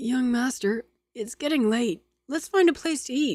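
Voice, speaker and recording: High-pitched put-on character voice from a woman, delivered at a moderate pace. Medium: read story. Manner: eager, chatty.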